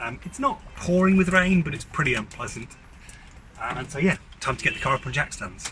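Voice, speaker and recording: Over noticeable background noise, a man with a high voice talks fairly quickly, his pitch swinging very widely and his loudness rising and falling sharply. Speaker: DIY car mechanic YouTuber. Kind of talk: casual vlog to camera. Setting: outdoors in the rain. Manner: quiet.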